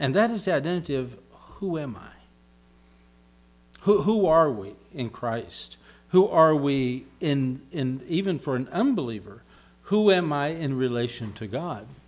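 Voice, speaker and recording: Taking a fairly slow pace, a man uses a fairly high pitch with very wide pitch swings. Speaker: pastor. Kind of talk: sermon preaching to congregation. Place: church. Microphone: podium.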